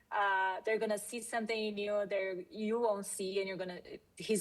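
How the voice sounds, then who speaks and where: A woman talks at a medium pitch with a non-native accent. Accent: foreign. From Brazil. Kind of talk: panel discussion. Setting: stage with audience.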